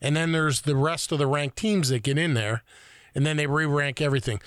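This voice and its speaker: Here is a man with a plain, everyday voice, fairly high in pitch and with lively intonation. The recording is very clean, the background silent. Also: dry, close sound with no echo. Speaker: co-host. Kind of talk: casual chat.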